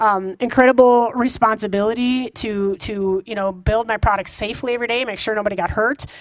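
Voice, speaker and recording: Against a quiet background, a woman with an American accent speaks at a fairly high pitch and a fairly quick pace, with ordinary pitch variation. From Wisconsin, US Midwest. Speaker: engineering executive. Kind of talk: guest talk to students. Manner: fast; animated.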